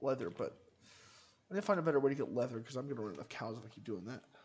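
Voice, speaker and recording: Here a man speaks at medium pitch. His voice is somewhat breathy. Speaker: gaming streamer. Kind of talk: gameplay commentary. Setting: livestream.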